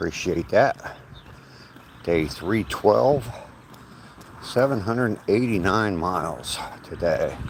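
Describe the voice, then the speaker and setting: Over noticeable background noise, a man with a fairly low pitch speaks at a very slow pace, using lively intonation and long, frequent pauses. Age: old. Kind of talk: casual live-stream talk while walking. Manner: relaxed, chill.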